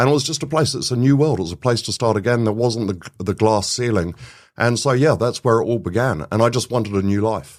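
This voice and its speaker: A man at a medium pitch, very fast pace and lively intonation. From England. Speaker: business CEO. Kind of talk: podcast interview. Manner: casual, animated.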